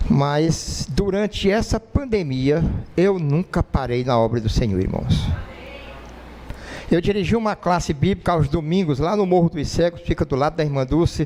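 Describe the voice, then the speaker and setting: Noticeable background noise surrounds a man's voice. He speaks with lively intonation at a fairly high pitch for a man. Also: moderate pace, very even loudness. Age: 60s. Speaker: lay preacher. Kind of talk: sermon. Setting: church.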